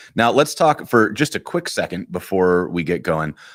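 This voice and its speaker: Mumbling with vocal fry, a man speaks at a moderate pace with ordinary pitch variation in a very clean recording with a silent background. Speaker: live coding show host. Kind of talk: live coding tutorial chat. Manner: casual, hesitant with fillers.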